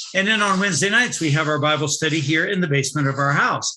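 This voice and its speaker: A man's voice over noticeable background noise. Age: 60s. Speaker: pastor. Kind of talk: sermon. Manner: halting.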